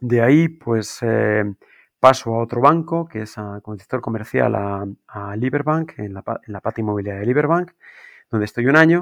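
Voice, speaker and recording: Against a quiet background, a man speaks at medium pitch and a moderate pace. His intonation is lively, his loudness swings widely, and the sound is dry and close with no echo. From Spain, Guadalajara. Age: 40s. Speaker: business school program director. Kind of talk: interview. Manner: halting, many fillers and repetitions.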